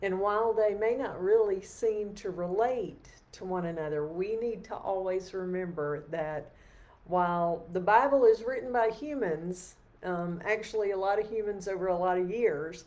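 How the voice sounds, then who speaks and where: At a moderate pace, a woman speaks with ordinary pitch variation. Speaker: lay preacher leading evening prayer. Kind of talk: sermon. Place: home room. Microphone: webcam.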